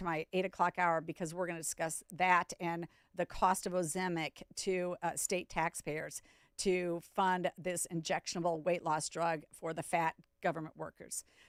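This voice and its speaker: A woman with an American accent speaks at a moderate pace and a fairly low pitch, in a monotone, flat intonation. The recording is very clean with a silent background, dry and close with no echo. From US Midwest, South Dakota. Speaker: radio talk show host. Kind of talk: radio talk show monologue. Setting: radio studio.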